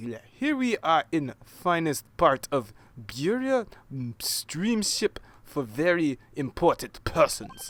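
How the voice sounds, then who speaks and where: Putting on a gruff character voice, a man speaks at a fairly slow pace with a high pitch and very wide pitch swings. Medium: game stream. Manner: broken English, gruff.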